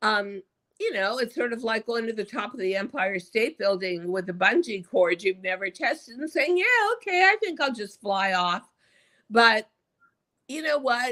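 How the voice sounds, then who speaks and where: A woman speaks at a moderate pace in a fairly high, bright and sharp voice, sounding animated as her pitch swings very widely. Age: 70s. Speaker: author and tele-retailing personality. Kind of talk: interview. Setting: live stream.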